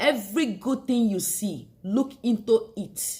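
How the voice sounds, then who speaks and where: Her voice somewhat breathy, a woman speaks with lively intonation. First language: not English. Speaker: beauty vlogger. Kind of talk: motivational monologue.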